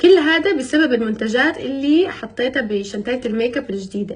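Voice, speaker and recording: Very wide pitch swings and an animated tone mark a woman's fairly slow speech. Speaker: family vlogger. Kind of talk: vlog to camera. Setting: in a car.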